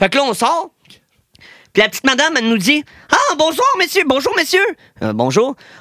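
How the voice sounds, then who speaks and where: With lively intonation and an extremely high pitch, a man speaks in a raised, projected voice at a moderate pace, leaving long, frequent pauses. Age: 20s. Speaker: DJ. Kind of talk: casual chat. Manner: animated.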